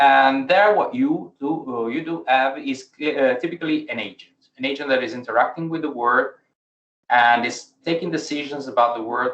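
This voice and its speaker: Fairly high male voice, moderate pace, ordinary pitch variation. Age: young. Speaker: AI researcher. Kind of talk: lecture. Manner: halting.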